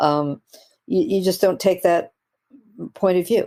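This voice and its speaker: Her tone dark and mellow, a woman speaks at a moderate pace with ordinary pitch variation. The recording is very clean, with a silent background. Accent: American. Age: 80s+. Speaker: biology professor and author. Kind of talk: podcast interview. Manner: halting, many fillers.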